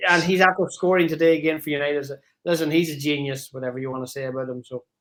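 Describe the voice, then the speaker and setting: Big loudness swings from a man with an Irish accent, fairly high pitch, very fast pace and fairly even intonation. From Ireland, Donegal. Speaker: caller on live stream. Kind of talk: casual chat.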